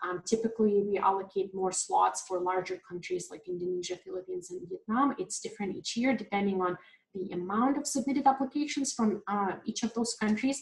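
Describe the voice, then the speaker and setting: At a fairly quick pace with hardly any pauses, a woman speaks at a medium pitch, somewhat breathy, with ordinary pitch variation. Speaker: program staff webinar host. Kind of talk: webinar Q&A. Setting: online webinar. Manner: fast; many filler words.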